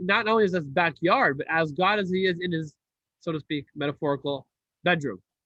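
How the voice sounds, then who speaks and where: A man speaks with ordinary pitch variation. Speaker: rabbi teaching a class. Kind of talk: lecture.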